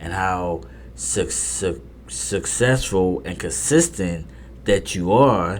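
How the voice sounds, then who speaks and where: Speaking at a very slow pace, a man with a very deep, low pitch is heard with audible room echo. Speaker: poker podcast host. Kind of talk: casual monologue. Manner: repetitive, halting; stuttering.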